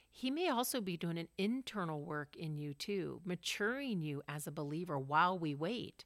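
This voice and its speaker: A woman with an American accent speaks in a plain, everyday voice, her pitch fairly low and her intonation lively. She keeps a moderate pace on a very clean recording with a silent background. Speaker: podcast co-host. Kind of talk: casual chat.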